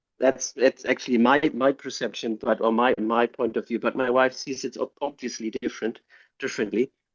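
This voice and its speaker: Fairly even in intonation, a man speaks at a medium pitch. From Germany. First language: German. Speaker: tech entrepreneur and CEO. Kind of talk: interview.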